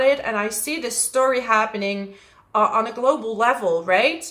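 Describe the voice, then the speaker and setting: A woman's fairly high voice with a Dutch accent, ordinary pitch variation and a moderate pace, over noticeable background noise. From Netherlands. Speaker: astrologer. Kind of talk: astrology forecast monologue. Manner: casual, with frequent fillers.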